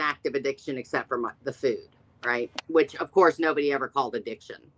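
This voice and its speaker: A woman's voice comes through loud, bright and sharp. The sound is dry and close with no echo. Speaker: live video host discussing addiction. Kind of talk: casual chat.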